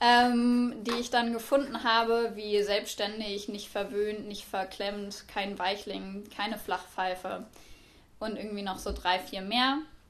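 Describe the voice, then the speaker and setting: Speaking very slowly at a medium pitch, a woman keeps her intonation fairly even while the room echo is audible. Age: 20s. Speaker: university student. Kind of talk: academic discussion.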